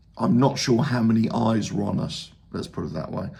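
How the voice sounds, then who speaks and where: Room echo and noticeable background noise surround a man's voice. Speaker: football fan YouTuber. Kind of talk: casual video reaction.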